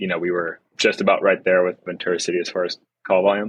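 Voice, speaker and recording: This man has a very deep, low voice and an American accent. His intonation is monotone and flat, and he talks very fast. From US West Coast, North County San Diego, California. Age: 20s. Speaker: firefighter. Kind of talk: podcast interview.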